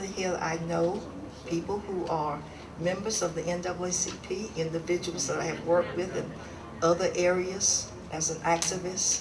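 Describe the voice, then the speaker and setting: There is audible room echo and noticeable background noise. A woman speaks at a moderate pace and fairly low pitch, her intonation monotone and flat. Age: 70s. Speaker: civil rights activist, award recipient. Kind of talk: acceptance speech.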